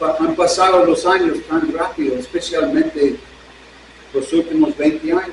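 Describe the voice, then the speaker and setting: Speaking at a fairly slow pace, a man is accompanied by noticeable background noise. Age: 70s. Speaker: pastor. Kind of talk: sermon. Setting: church service streamed online.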